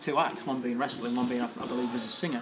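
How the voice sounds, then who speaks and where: A man with a medium pitch talks in fairly even intonation against noticeable background noise. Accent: East Midlands. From England, East Midlands (Mansfield). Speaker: professional wrestler. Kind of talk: casual chat.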